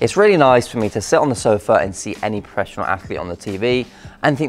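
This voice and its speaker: Faint music plays in the background while a man talks at a very fast pace with ordinary pitch variation. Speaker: fitness vlogger. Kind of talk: casual vlog chat. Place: gym. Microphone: lapel.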